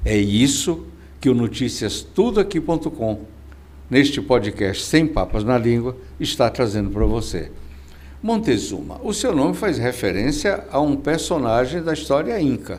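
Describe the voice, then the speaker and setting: Very wide pitch swings in a man's medium-pitched voice, delivered at a fairly slow pace. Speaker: podcast host. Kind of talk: interview.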